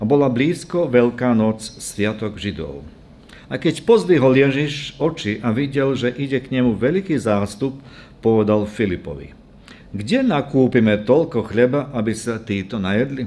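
The man's tone is dark and mellow. He speaks at a fairly slow pace with lively intonation. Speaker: preacher. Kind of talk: scripture reading in a sermon. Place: church. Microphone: podium.

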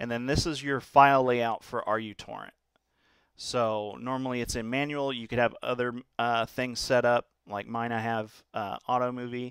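In a very clean recording with a silent background, a man speaks at a medium pitch and a moderate pace with monotone, flat intonation. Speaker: tech tutorial presenter. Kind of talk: screen-recorded software tutorial. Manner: casual, many fillers (uh, um); slight stutter today.

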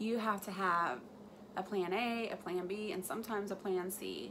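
A woman with a fairly bright tone at a fairly slow pace

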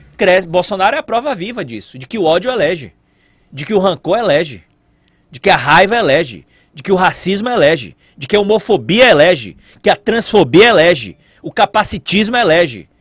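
Speaking at a fairly quick pace, a man with a high voice uses lively intonation and big swings in loudness, recorded with a dry sound with no echo and a quiet background. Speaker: news commentator. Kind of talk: angry rant, indignant political commentary on a news story. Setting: studio. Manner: indignant, sarcastic, emphatic; repetitive, pounding rhetorical questions, fiery. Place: studio. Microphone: studio mic.

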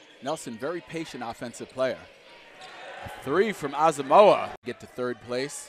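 A man speaks with a fairly high pitch and big swings in loudness. Noticeable background noise runs underneath. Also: ordinary pitch variation, moderate pace. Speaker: play-by-play announcer. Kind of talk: live sports commentary. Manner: excitable, rising on big plays.

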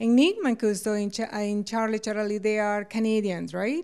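Against a quiet background, a woman speaks at a moderate pace with a medium pitch. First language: Spanish. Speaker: TV interviewer. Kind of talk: interview. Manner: code-switches Spanish and English. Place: home room. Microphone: handheld.

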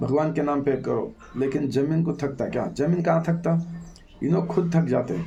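A man's fairly high, somewhat breathy voice with a dark, mellow tone, ordinary pitch variation and audible room echo. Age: 60s. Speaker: religious devotee speaker. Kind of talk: religious discourse.

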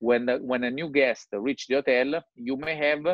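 Against a quiet background with dry sound and no echo, a man with an Italian accent speaks at a fairly slow pace with ordinary pitch variation. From Italy. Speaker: digital strategy consultant. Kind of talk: presentation. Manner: halting. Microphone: video call.

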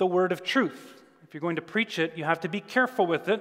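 A man's high voice at a fairly quick pace. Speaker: minister preaching. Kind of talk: sermon. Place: church.

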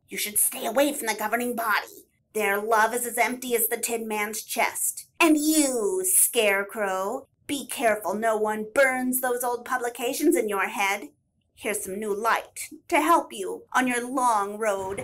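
Using a put-on character voice, a female-sounding speaker talks at a moderate pace with a fairly high pitch. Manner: teasing, sly, later warm.

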